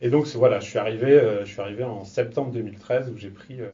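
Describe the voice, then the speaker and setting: Somewhat breathy and at a medium pitch, a man speaks at a very fast pace with ordinary pitch variation, and audible room echo surrounds him. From France, Laval (Mayenne). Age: 30s. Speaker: business incubator manager. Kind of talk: interview. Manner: hesitant, many fillers.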